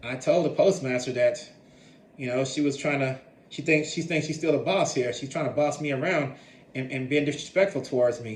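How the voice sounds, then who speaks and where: A somewhat breathy man's voice, fairly high in pitch and fairly even in intonation, with long, frequent pauses and audible room echo. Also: moderate pace. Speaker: vlogger sharing personal experiences. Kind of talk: personal storytelling monologue. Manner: halting, many repetitions.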